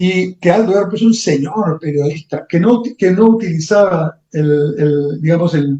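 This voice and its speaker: A man's high-pitched, dark, mellow voice with ordinary pitch variation, a fairly slow pace and hardly any pauses. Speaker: economist and professor. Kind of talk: interview.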